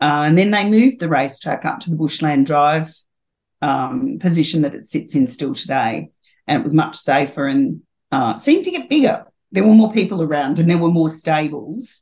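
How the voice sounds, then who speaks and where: With a very deep, low pitch, a woman talks at a moderate pace using lively intonation. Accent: Australian. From Australia, New South Wales country (Taree). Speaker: former jockey and HR consultant. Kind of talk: interview.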